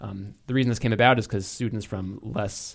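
Vocal fry marks a man's voice on a very clean recording with a silent background. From New England. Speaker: podcast host. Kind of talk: casual chat.

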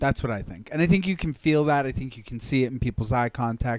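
A man with an ordinary speaking voice talks at a fairly quick pace and medium pitch, with ordinary pitch variation, in a dry, close sound with no echo. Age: 30s. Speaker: comedian and podcast co-host. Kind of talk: casual chat.

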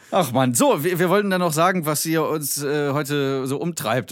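With music in the background, a man speaks at a fairly high pitch. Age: 30s. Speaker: podcast co-host, comedian. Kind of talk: casual chat.

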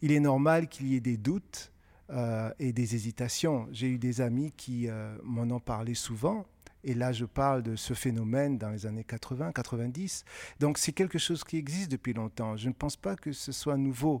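This man has a plain, everyday voice at medium pitch with ordinary pitch variation. He talks at a fairly slow pace on a very clean recording with a silent background. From West Africa (Benin, Côte d'Ivoire). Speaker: author. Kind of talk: interview before a live audience.

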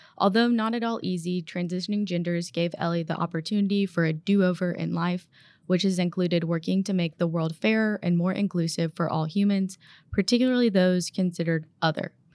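A woman uses a normal speaking voice with fairly low pitch and fairly even intonation at a fairly quick pace. It is a very clean recording with a silent background. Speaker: lawyer and podcast co-host. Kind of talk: interview.

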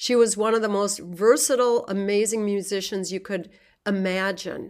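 Speaking with a plain, everyday voice in an American accent, a woman keeps a medium pitch, fairly even intonation and a moderate pace on a very clean recording with a silent background. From US Midwest, rural southwest Minnesota. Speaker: jazz composer and orchestra leader. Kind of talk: interview conversation.

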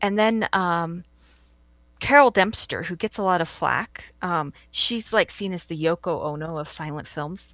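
A woman with an American accent and an ordinary speaking voice talks at a fairly slow pace, her fairly low pitch showing ordinary pitch variation and big swings in loudness, in a very clean recording with a silent background and a dry, close sound with no echo. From California. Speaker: film blogger and preservationist. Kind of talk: casual interview.

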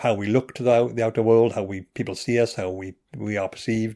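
In a very clean recording with a silent background, a man with a Welsh accent talks very fast at a medium pitch with fairly even intonation. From Wales. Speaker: neuroscientist and comedian. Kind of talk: casual chat.

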